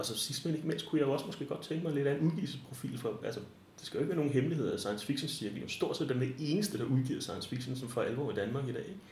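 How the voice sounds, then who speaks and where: A man with a fairly high pitch talks at a very fast pace. Noticeable background noise and audible room echo surround him. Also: ordinary pitch variation. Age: 40s. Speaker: librarian. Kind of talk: interview. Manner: halting.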